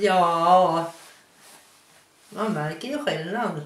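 The speaker has a Hälsingland accent. The room echo is audible. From Hälsingland, Sweden. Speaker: local resident interviewed about dialect. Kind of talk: interview answer. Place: kitchen.

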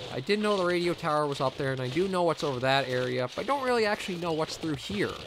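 A man with a Canadian accent, fairly high-pitched and lively in intonation, at a very fast pace over background music. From Canada. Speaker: gaming commentator. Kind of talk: let's play commentary. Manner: casual.

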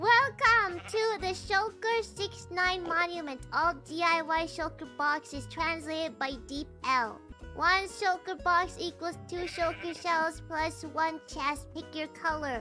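Over clear background music, a female-sounding put-on character voice speaks fairly slowly at an extremely high pitch. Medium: virtual streamer.

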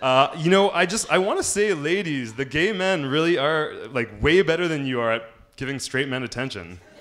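A man with a Canadian accent speaks at a fairly high pitch and a moderate pace, with hardly any pauses. His tone is animated and his intonation lively, over noticeable background noise. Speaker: amateur stand-up comedian. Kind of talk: stand-up comedy set. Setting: stage with audience in a comedy lounge. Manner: animated, cocky self-deprecating delivery, punchline-driven with laughs; hesitant, stumbling starts with repeated words.

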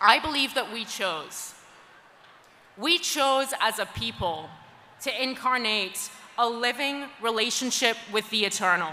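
A woman's high-pitched voice with lively intonation, a fairly slow pace and long, frequent pauses, over light background noise. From Scotland. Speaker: journalist and activist against anti-Semitism. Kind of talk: conference plenary speech. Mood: earnest, impassioned. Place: hall. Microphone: podium.

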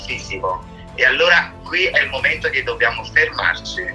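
The speaker is a man. Music plays faintly behind him. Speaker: interviewee. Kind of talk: interview answer. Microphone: video call.

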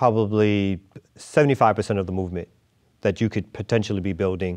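Against a quiet background, a man speaks with a fairly low pitch. His pace is moderate and his intonation fairly even. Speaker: interview guest. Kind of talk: interview answer. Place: studio. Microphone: lapel.

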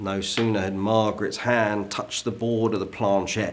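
Fairly even intonation goes with a fairly slow pace of speech. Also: man. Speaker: historical character actor. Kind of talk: ghost story telling, period drama. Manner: slow, suspenseful storyteller building dread. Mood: hushed, suspenseful. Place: home room.

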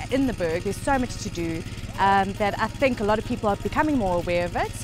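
Faint music plays behind a woman speaking at a fairly quick pace with ordinary pitch variation, the sound dry with no echo. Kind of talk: interview answer. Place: open country.

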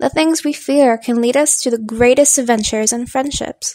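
Soft-spoken and at a moderate pace, a woman talks in a high pitch and a gentle tone, with a dry, close sound and no echo. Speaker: voice actor. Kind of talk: children's storybook narration. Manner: soft, gentle.

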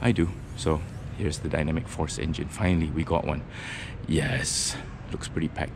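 Loud background noise surrounds a man's speech. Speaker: car reviewer. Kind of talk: casual walkaround commentary. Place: hall. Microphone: phone near.

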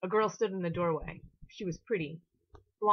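Over a quiet background, a speaker is reading aloud in a natural voice with ordinary pitch variation.

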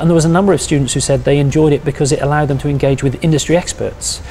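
With light background noise behind him, the man's intonation stays fairly even. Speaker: university lecturer. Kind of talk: interview answer. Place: office. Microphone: lapel.

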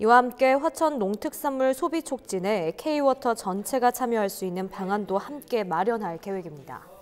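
With an ordinary speaking voice, a woman talks at a moderate pace and a fairly high pitch, using lively intonation and hardly any pauses. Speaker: news anchor. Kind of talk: news reading. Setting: studio.

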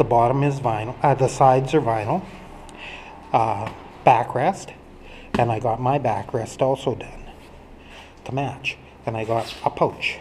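A man speaks with fairly even intonation and long, frequent pauses over light background noise. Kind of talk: casual show-and-tell walkthrough. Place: garage. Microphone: phone near.

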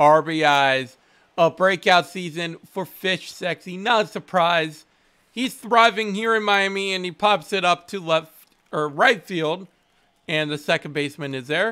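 Against a quiet background, a man with a bright, sharp tone speaks at a fairly slow pace. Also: ordinary pitch variation. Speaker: gaming streamer. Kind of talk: gameplay commentary. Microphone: headset.

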